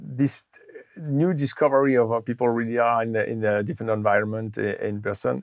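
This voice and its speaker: A man speaks with a French accent. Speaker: startup CEO. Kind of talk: interview. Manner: hesitant, many fillers and repeats.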